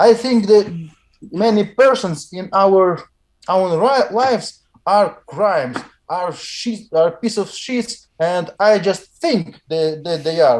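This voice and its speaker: Man with a Russian accent, high pitch and lively intonation at a very slow pace. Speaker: weightlifter. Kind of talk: interview. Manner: halting.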